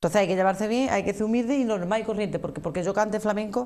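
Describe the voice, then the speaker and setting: A woman talks at a very fast pace in an Andalusian accent. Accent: Andalusian (Cádiz). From Andalusia, Arcos de la Frontera (Cádiz); Andalusia, Spain. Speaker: flamenco singer; guest. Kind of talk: interview. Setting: TV studio. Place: studio. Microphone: lapel.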